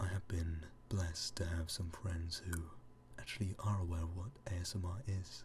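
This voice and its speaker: A soft-spoken man talks at a fairly slow pace with a very deep, low pitch. He sounds somewhat breathy, with ordinary pitch variation. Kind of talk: ASMR reading.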